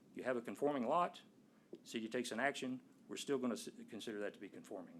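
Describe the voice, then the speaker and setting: A man with an East Texas accent, medium pitch, ordinary pitch variation and a very fast pace. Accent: East Texas Southern US. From Nacogdoches, East Texas. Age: 60s. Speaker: resident speaking at a zoning board hearing. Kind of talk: public comment at a city board meeting. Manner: conversational, explanatory.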